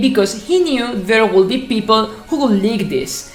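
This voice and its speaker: A woman with a fairly high pitch speaks at a moderate pace with lively intonation. Music plays in the background, and room echo is audible. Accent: non-native. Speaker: gaming YouTuber. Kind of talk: casual commentary video.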